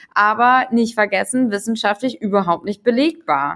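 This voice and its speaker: Here a woman has a fairly high pitch and an unremarkable speaking voice. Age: 50s. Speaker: psychologist and consultant on age and generations. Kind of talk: casual interview chat. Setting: video call.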